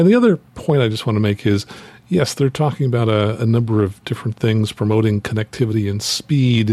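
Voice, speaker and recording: A man with a medium-pitched, unremarkable speaking voice talks at a fairly quick pace with ordinary pitch variation, recorded dry and close with no echo. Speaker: flight instructor. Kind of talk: casual chat.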